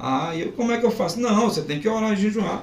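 Audible room echo surrounds speech delivered at a moderate pace with lively intonation. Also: man. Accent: Pernambuco. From Pernambuco, Brazil (Zona da Mata). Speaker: pastor. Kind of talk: testimony.

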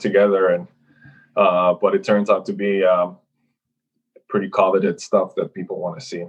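A man speaks with a slight Finnish accent. His pace is fairly quick. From Finland. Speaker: professional hockey goaltender. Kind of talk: casual interview.

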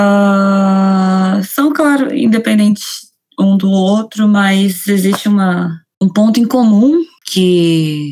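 A very slow, somewhat breathy delivery with very even loudness, ordinary pitch variation and a dark, mellow tone. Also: woman, medium pitch for a woman. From Rio de Janeiro, Brazil. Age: 20s. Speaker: author. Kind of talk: interview.

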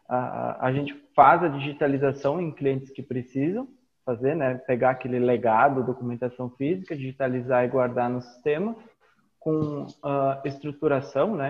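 An unremarkable speaking voice goes at a moderate pace. Its intonation is fairly even. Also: man, fairly high pitch for a man. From Rio Grande do Sul, Brazil (Caxias do Sul). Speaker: IT business owner and teacher. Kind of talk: interview.

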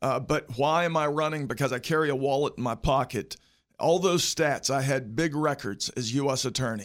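With a West Virginia accent, a man speaks at a moderate pace with a fairly high pitch and ordinary pitch variation, in a very clean recording with a silent background. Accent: West Virginia Appalachian. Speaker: politician. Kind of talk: interview, campaign pitch. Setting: studio.

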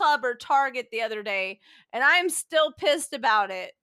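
With an American accent, a woman speaks in a raised, projected voice that has a bright, sharp tone and lively intonation, on a very clean recording with a silent background. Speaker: podcast host, author. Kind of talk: casual chat.

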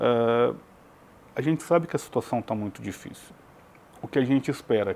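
The speaker is a man. His pitch is medium. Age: 40s. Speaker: writer and literature academic, founder of a writers' academy. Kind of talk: TV interview.

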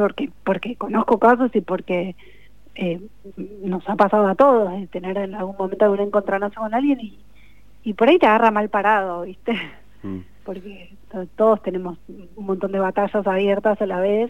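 A woman's medium-pitched voice at a moderate pace, with fairly even intonation, big swings in loudness, and long, frequent pauses. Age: 40s. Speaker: novelist. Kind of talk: radio interview.

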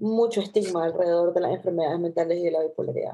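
A woman speaks with a dark, mellow tone. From Latin America. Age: 30s. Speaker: podcast co-host, psychologist. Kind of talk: casual chat.

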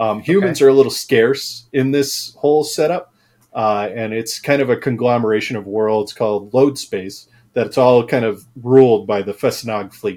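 A man with an American accent talks at a moderate pace and a medium pitch, with ordinary pitch variation. He has a normal speaking voice. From US Midwest, Chicago suburbs. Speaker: science fantasy author and film previsualization artist. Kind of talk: interview.

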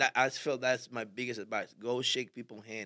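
A man in a Spanish accent speaks at a medium pitch with a bright, sharp tone, the sound dry and close with no echo. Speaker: barber and barbershop owner. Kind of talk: casual interview.

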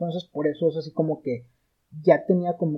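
A man with a fairly high pitch talks at a fairly quick pace, his intonation fairly even. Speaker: podcast guest, film fan. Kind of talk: casual chat. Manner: halting, many fillers.

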